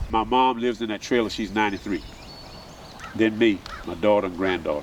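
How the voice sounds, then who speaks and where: Noticeable background noise sits behind a man speaking at a fairly quick pace. His pitch is fairly low and his intonation fairly even. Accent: Southern US. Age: 60s. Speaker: farmer. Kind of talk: interview.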